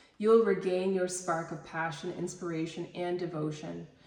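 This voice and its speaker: Audible room echo surrounds a woman with fairly low pitch. She talks at a moderate pace with fairly even intonation. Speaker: tarot reader and reiki healer. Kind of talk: tarot reading, reading card texts aloud.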